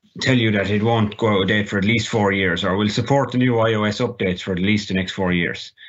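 A fairly low-pitched man with an Irish accent and fairly even intonation. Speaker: assistive technology trainer. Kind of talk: tutorial.

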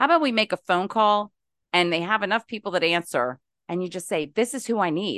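A woman with an American accent and a plain, everyday voice speaks at a fairly quick pace with lively intonation and medium pitch. The sound is dry and close with no echo, over a quiet background. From West Virginia. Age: 50s. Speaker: podcast listener. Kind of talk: casual chat.

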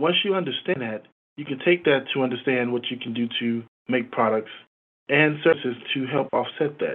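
A man with an American accent speaks in a plain, everyday voice. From Chicago, US. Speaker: credit union executive. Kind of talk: interview.

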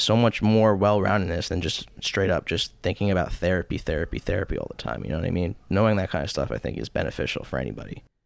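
Very fast and very deep, a man's low voice carries vocal fry and ordinary pitch variation. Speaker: mental health counselor. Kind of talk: casual chat. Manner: soft-spoken.

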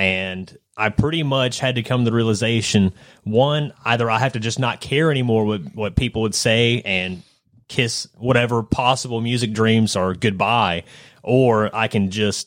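The speaker talks at a moderate pace in an unremarkable speaking voice. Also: man. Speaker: podcast host. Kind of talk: casual chat. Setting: studio.

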